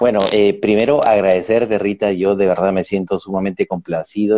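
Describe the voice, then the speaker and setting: Speaking at a fairly quick pace, a man delivers his words in a flat monotone with a dark, mellow tone and a dry, close sound with no echo. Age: 40s. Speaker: change facilitator and coach. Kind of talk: interview on live stream. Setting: Instagram live video call.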